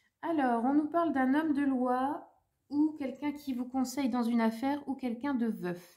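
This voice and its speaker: The tone is dark and mellow, with ordinary pitch variation and a fairly slow pace. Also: woman. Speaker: tarot reader, medium. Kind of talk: tarot reading for viewers. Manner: hesitant, many fillers.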